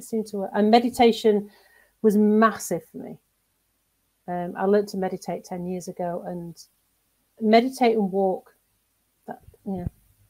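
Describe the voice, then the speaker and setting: A woman with a northern English accent speaks at a moderate pace and medium pitch, her intonation fairly even, her loudness swinging widely, and her speech broken by long, frequent pauses. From northern England, seaside town. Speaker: executive coach and mentor. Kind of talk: interview.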